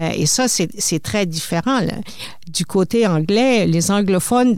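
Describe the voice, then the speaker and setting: With ordinary pitch variation, a woman speaks very slowly. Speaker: retired broadcasting executive, publisher. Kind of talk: interview. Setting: studio.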